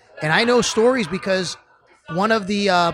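A man with a Buffalo accent speaks at a high pitch and a fairly slow pace. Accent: Western New York (Buffalo) American. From Buffalo, New York (Cheektowaga). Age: 30s. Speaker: sports radio host. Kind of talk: casual chat. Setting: pizza pub, recorded on location.

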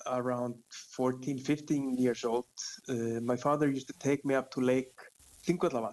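In an Icelandic accent, a man of medium pitch talks at a moderate pace with monotone, flat intonation, very even loudness, and long, frequent pauses. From Iceland, Reykjavik. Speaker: fishing guide. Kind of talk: interview.

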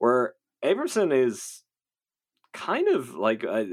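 The recording is very clean, with a silent background. A man speaks with a Dublin accent. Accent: Dublin Irish. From Dublin, Ireland.

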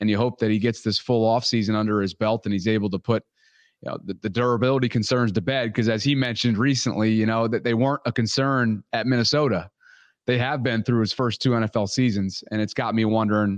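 A man with a plain, everyday voice talks at a fairly quick pace and medium pitch, keeping fairly even intonation and very even loudness against a quiet background. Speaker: sports podcast host. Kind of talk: casual chat.

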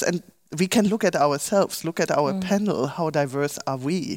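Using a German accent and lively intonation, a woman speaks at a moderate pace in a dry, close sound with no echo, the recording very clean with a silent background. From Germany. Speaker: professor. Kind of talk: panel discussion. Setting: stage with live stream.

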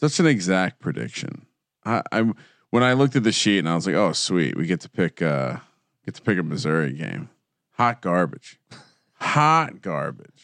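With an American accent, a man speaks at a very deep, low pitch with vocal fry and very wide pitch swings, keeping a moderate pace broken by long, frequent pauses. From New Jersey. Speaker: sports betting podcaster. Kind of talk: casual chat.

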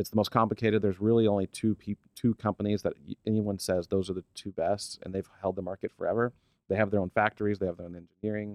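Very fast and monotone, a man with an American accent speaks at a fairly low pitch with flat intonation, the sound dry and close with no echo. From Oklahoma. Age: 30s. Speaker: fishing brand executive. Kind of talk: casual interview chat.

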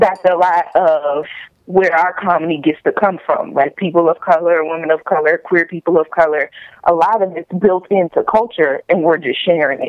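A woman with an American accent speaks in a plain, everyday voice, fairly low-pitched, with fairly even intonation at a moderate pace. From US South, Virginia. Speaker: comedian. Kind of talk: casual chat. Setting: phone call.

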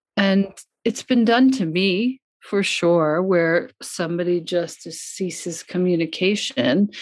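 Very slowly, a woman with an American accent speaks at medium pitch with ordinary pitch variation. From US, Long Island, New York. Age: 50s. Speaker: yoga and meditation teacher, author. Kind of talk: casual interview chat.

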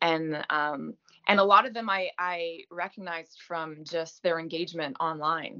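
The speaker uses ordinary pitch variation at a fairly slow pace with a slight French-Canadian accent. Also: woman, fairly low pitch for a woman. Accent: lightly French-Canadian-accented English. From Quebec, Gaspé. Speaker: actress. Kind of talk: interview. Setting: video call.

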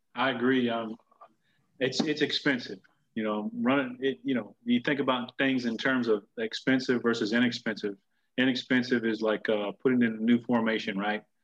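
A man with an American accent, an unremarkable speaking voice, medium pitch, fairly even intonation and a moderate pace. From Tampa, Florida. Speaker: high school football coach, podcast host. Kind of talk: casual chat.

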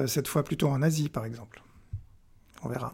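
Somewhat breathy and fairly high-pitched, a man's voice carries ordinary pitch variation. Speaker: press cartoonist. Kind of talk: interview. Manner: halting, many repetitions and hesitations.

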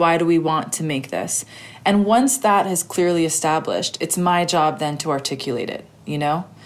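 A normal speaking voice from a woman: fairly low pitch, moderate pace, ordinary pitch variation. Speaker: documentary director. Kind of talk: interview.

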